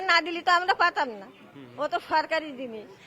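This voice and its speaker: A woman speaks in a raised, projected voice at an extremely high pitch, with a Bangladeshi accent. Crowd noise is heard in the background. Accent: Bangladeshi rural Bengali dialect. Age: old. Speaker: undocumented migrant interviewee. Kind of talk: street interview.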